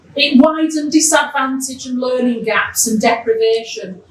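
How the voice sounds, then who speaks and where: Her voice high in pitch, a woman talks at a moderate pace with ordinary pitch variation, and audible room echo surrounds her. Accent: Yorkshire. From Yorkshire, northern England (Keighley). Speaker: education programme official. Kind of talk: welcome speech. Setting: event hall with live audience.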